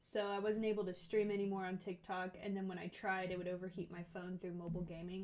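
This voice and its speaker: Noticeable background noise runs under the clip. A woman at medium pitch talks at a very fast pace. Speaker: gaming streamer. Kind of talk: live stream chat. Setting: live stream. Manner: animated.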